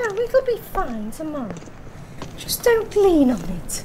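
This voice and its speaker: A woman performs a put-on character voice at an extremely high pitch with very wide swings, speaking fairly slowly over clear background noise. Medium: audio drama. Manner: brisk and breezy.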